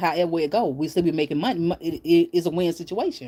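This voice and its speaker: In a very clean recording with a silent background, a woman speaks at a very fast pace. Her voice is fairly low-pitched with a dark, mellow tone. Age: 40s. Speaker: YouTube live streamer. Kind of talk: casual chat. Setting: live stream from bed at home.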